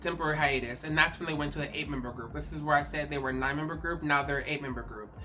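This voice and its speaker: A woman speaks with a very deep, low pitch, and audible room echo surrounds her voice. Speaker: K-pop commentary YouTuber. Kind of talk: casual vlog commentary. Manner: halting, repeats words.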